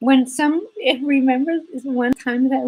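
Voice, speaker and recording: The speaker is a woman, and her delivery keeps a moderate pace. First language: Spanish. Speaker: embroidery teacher. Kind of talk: live stream chat.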